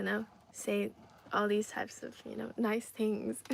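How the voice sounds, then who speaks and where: A moderate pace, with an American accent. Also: woman. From Ireland and Trinidad. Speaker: livestreamer. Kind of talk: casual chat. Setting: live stream.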